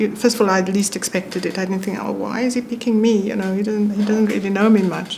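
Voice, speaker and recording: A woman speaks at a fairly quick pace with a fairly high pitch. The room echo is audible, and there is noticeable background noise. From South Africa. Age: 70s. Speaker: former ambassador. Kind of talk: interview conversation. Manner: calm, even-toned.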